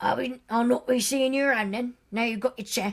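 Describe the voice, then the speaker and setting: A put-on character voice cackles at a fairly quick pace. Its intonation stays fairly even. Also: woman, high pitch for a woman. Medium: read story. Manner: sly, teasing, stubborn.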